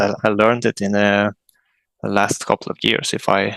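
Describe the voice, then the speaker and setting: A man with a fairly low pitch talks at a moderate pace, his intonation monotone and flat. There is vocal fry, and the sound is dry and close with no echo. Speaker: metal band vocalist. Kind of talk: interview. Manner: halting.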